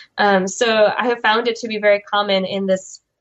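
A woman with a Chicago accent, medium pitch, fairly even intonation and a moderate pace. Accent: American, Chicago. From US Midwest, Chicago (Soviet immigrant community). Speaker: graphic novelist and PhD student. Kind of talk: interview. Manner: hesitant, many fillers.

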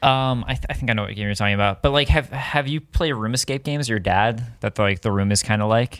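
Very fast talk in an American accent with hardly any pauses and ordinary pitch variation, on a very clean recording with a silent background. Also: man, medium pitch for a man. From US Midwest. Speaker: on-camera presenter and voice-over artist. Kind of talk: casual chat.

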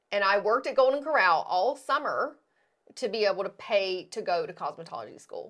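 A woman with an American accent and a plain, everyday voice, medium pitch, lively intonation and a fairly quick pace. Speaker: podcast host and hair extension educator. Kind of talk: casual chat. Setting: studio.

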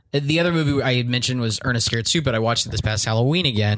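With an American accent, a man at medium pitch talks at a very fast pace. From Texas. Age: 20s. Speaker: comedian. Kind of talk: casual chat.

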